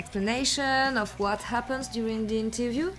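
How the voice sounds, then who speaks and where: With music playing in the background, a woman speaks in a French accent. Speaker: vocal coach, podcast host. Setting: music venue. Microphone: poor recording sound.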